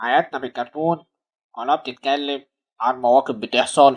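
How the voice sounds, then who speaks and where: A cartoonish character voice at a low-to-middle pitch and moderate pace, in a very clean recording with a silent background. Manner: brisk, colloquial.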